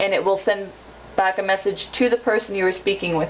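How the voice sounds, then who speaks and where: The speaker's intonation stays fairly even over noticeable background noise. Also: woman. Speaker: amateur tutorial maker. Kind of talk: tutorial. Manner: fast; casual, informal.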